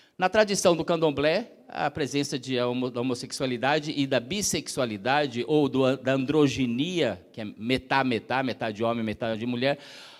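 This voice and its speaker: Hardly pausing at all, a man speaks at a moderate pace and medium pitch. His pitch varies in an ordinary way. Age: 60s. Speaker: activist speaker. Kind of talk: lecture. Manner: halting.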